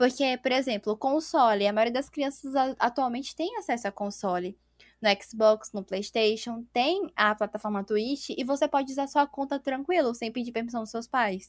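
This woman talks at a moderate pace. Her pitch is high, with ordinary variation. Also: dry, close sound with no echo. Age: 20s. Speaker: streamer and interior designer. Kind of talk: casual chat.

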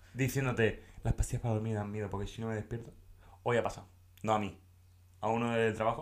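A man talks at a very fast pace in a monotone, flat intonation. Long, frequent pauses break up his speech. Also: medium pitch for a man. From Catalonia, Tarragona area. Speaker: podcast co-host. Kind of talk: casual chat.

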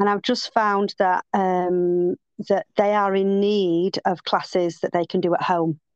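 A woman with an unremarkable speaking voice talks at a medium pitch and a fairly slow pace, with fairly even intonation. Her loudness stays very even, and the sound is dry and close with no echo. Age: 50s. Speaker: fitness and yoga instructor. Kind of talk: casual chat.

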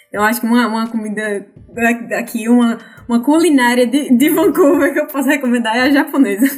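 A fairly quick pace against noticeable background noise. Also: woman, high pitch for a woman, ordinary pitch variation. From Brazil, Natal, Rio Grande do Norte. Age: 20s. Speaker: Brazilian immigrant, logistics manager. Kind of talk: casual podcast interview.

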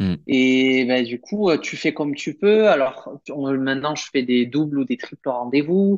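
With lively intonation, a man with a fairly high pitch speaks at a fairly slow pace with hardly any pauses. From southern France, Perpignan. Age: 30s. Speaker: primary school teacher. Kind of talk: casual interview.

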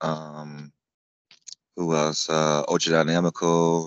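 A man with an American accent speaks at a very deep, low pitch. His pace is very slow and his intonation monotone and flat. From US South, Florida (Tampa area). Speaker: amputee cyclist and racer. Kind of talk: casual interview chat.

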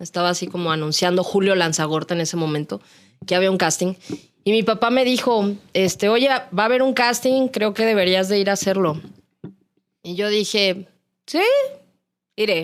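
A woman speaks with a Mexican accent at medium pitch and a moderate pace. Her pitch variation is ordinary, and her pauses are long and frequent. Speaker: radio announcer. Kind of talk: casual chat.

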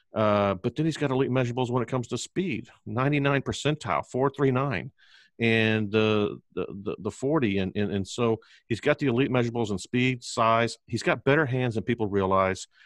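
This man has an unremarkable speaking voice at medium pitch, with ordinary pitch variation and a moderate pace. The sound is dry and close with no echo, over a quiet background. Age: 50s. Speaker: barbecue restaurateur and fantasy football podcaster. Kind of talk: casual chat.

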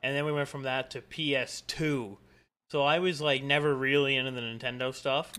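Fairly high in pitch, a man with a Canadian accent and a normal speaking voice talks at a fairly quick pace with fairly even intonation. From Canada. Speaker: gaming streamer and podcast co-host. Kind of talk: casual chat.

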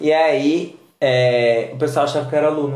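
The man's voice sits at a fairly high pitch with ordinary pitch variation. His tone is animated. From Brazil, countryside (interior). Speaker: podcast host and fashion designer. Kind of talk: casual chat.

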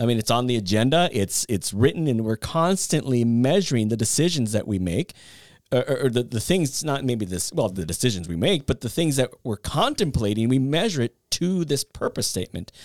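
A man speaks at a fairly quick pace in an animated tone, his medium-pitched voice making very wide pitch swings, captured dry and close with no echo on a very clean recording with a silent background. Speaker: podcast host. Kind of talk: casual chat.

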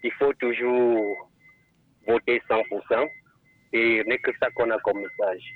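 A man speaking at a very slow pace, with very even loudness and long, frequent pauses. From Cameroon, Haute-Sanaga. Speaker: caller. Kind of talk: call-in testimony. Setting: phone call.

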